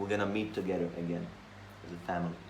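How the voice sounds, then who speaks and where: A man with a Slovak accent, in a room with audible echo. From Slovakia. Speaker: monk. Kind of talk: scripture class.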